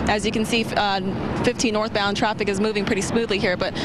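Against noticeable background noise, a woman with an American accent speaks fairly quickly at a fairly high pitch in a monotone, flat intonation. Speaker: TV news reporter. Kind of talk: live field news report to camera.

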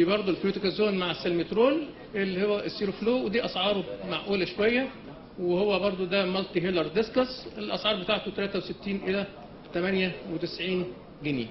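Over light background noise, a man with a high-pitched voice speaks at a moderate pace with ordinary pitch variation. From Egypt. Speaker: pediatric pulmonology professor; workshop lecturer. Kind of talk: lecture. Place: hall. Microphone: camera far.

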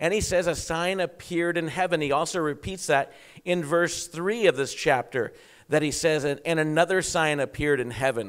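With a quiet background, a man keeps a moderate pace and shows ordinary pitch variation. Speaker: preacher. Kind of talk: sermon. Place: church. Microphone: handheld.

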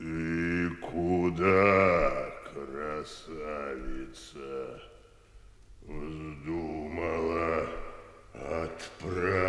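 In a put-on character voice, a man speaks very slowly at a very deep, low pitch, creaky and with long, frequent pauses, with a slight echo. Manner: frightening, menacing.

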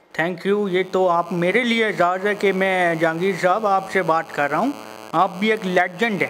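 A man's high-pitched voice, very even in loudness, with light background noise. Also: fairly even intonation. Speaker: caller, YouTuber. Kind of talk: casual vlog intro and prank phone call. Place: home room.

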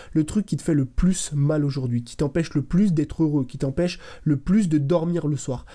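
A man's fairly high voice with a dark, mellow tone, ordinary pitch variation and a quiet background. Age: 20s. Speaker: content creator, motivational youtuber. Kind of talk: motivational monologue to camera. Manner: casual, direct. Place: home room. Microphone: studio mic.

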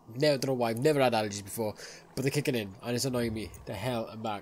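A man with a slightly mellow tone speaks very fast, his pitch varying in an ordinary way. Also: medium pitch for a man.

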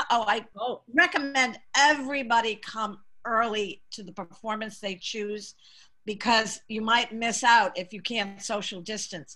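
Over a quiet background, a voice with an American accent speaks fairly slowly in a bright, sharp tone with ordinary pitch variation. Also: woman. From Massachusetts, Boston area. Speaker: community theater director; guest. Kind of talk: casual interview. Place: home room. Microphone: video call.

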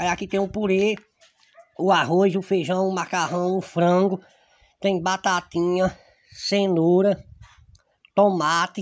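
Very slowly and with long, frequent pauses, a man talks at a high pitch in a monotone, flat intonation. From Serrita, Pernambuco, Brazil; Pernambuco, Brazil. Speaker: local YouTube reporter. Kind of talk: casual vlog chat while eating. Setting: at home lunch with family. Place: open country. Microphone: phone near.

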